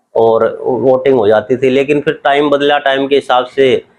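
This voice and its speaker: Fairly even intonation marks this man's a normal speaking voice. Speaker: family member of elderly voter. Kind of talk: interview answer.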